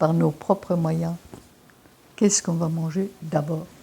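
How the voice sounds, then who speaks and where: A fairly low-pitched, somewhat breathy woman's voice with a dark, mellow tone, fairly even intonation and a fairly slow pace. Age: 80s+. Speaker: naturopath. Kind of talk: interview answer.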